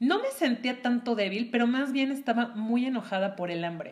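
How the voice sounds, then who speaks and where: Animated in tone, a woman speaks at a moderate pace with lively intonation. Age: 30s. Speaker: podcast co-host. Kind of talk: casual chat.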